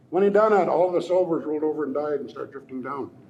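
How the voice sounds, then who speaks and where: With an American accent, a man talks at a fairly quick pace, his pitch swinging very widely. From Lummi Nation, Pacific Northwest US. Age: old. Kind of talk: traditional storytelling.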